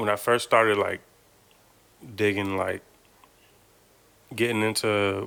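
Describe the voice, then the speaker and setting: A man's bright, sharp tone, fairly low in pitch, with monotone, flat intonation. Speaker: podcast co-host. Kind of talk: casual chat. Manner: monotone, laid back.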